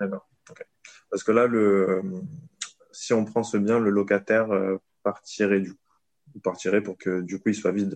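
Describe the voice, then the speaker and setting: The man talks at a moderate pace in monotone, flat intonation, with a dry, close sound and no echo. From southern France. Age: 30s. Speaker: private investor. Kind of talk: casual interview. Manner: hesitant, many fillers.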